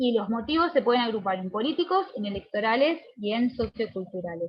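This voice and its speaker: Somewhat breathy, a woman's voice sits at a fairly high pitch. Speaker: lecturer. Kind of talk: lecture. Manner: fast; hesitant, with fillers.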